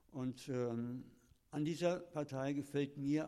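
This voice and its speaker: Fairly high in pitch with a dark, mellow tone, a man speaks with fairly even intonation. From Lower Rhine region, Germany (Kleve, near Dutch border). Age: 70s. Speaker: retired teacher. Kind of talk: interview testimony.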